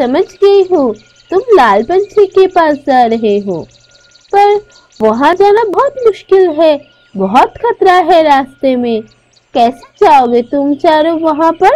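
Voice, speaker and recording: A woman's cartoonish character voice, extremely high-pitched and fairly slow, with music in the background. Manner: gentle, caring.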